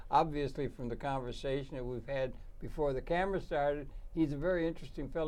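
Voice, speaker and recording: Over audible room echo, a man talks at a fairly quick pace in a fairly high pitch with ordinary pitch variation. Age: 80s+. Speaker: talk show host. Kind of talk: interview. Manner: halting.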